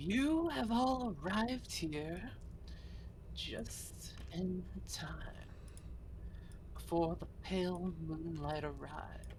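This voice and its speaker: Very slow, with long, frequent pauses, this is a put-on character voice. Clear background noise runs behind it. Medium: actual play. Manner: solemn, oracular.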